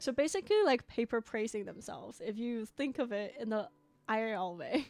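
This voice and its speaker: A woman speaks in a fairly high voice at a moderate pace, with ordinary pitch variation. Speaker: gaming YouTuber. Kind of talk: let's play commentary. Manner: casual, chatty with fillers.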